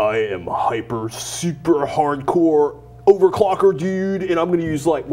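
Using a put-on character voice, a man speaks at a moderate pace in a fairly high pitch with an intense tone. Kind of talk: casual, slangy. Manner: intense, over-the-top, boastful.

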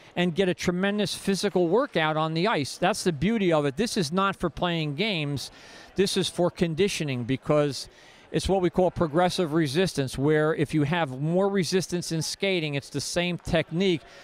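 Speaking at a moderate pace, a man has a high pitch with ordinary pitch variation. The recording is dry, with no echo. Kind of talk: interview answer. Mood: upbeat, proud. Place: stadium. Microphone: handheld.

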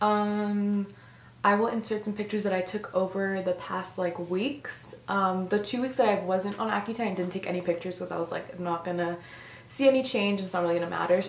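A woman at a fairly quick pace and fairly even intonation, with light background noise and audible room echo. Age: young. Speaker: vlogger. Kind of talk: casual talk to camera. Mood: earnest, slightly concerned. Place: home room. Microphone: camera far.

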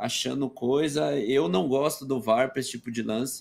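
Talking at a moderate pace, a man has a fairly high pitch and an unremarkable speaking voice. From Brazil, São Paulo ABC region (Santo André). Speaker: retired footballer and streamer. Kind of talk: casual chat. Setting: video call.

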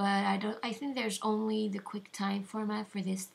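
Her voice is somewhat breathy. This woman speaks at a medium pitch. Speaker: video editing tutorial maker. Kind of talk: software tutorial voice-over. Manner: halting, lagging.

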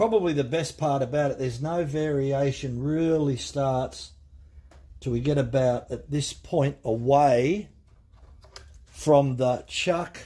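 Speaking at a fairly slow pace, a man has a dark, mellow tone that is somewhat breathy, with ordinary pitch variation. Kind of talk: tutorial. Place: workshop. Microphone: phone near.

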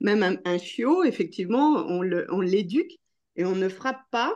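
A woman's intonation is lively as she talks at a very slow pace. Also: quiet background. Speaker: association ambassador, participant. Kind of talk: participant comment in discussion. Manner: halting. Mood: reflective, emotionally moved. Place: home room. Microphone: video call.

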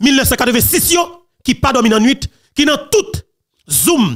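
In a Haitian accent, a man speaks with lively intonation. His pitch is extremely high. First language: Haitian Creole (speaking French). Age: young. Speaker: political commentary channel host. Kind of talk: political commentary monologue.

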